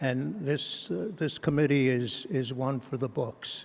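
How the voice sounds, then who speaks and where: Here a man talks at a medium pitch. His pace is fairly slow, with ordinary pitch variation. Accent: American. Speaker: hall of fame inductee, volleyball coach. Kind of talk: acceptance speech. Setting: banquet hall. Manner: halting.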